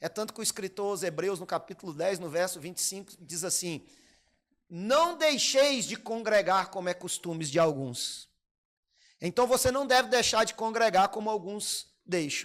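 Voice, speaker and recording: Animated in tone, a man speaks at a moderate pace and high pitch with lively intonation and big swings in loudness, on a very clean recording with a silent background. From Brazil, Minas Gerais. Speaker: pastor. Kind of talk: sermon.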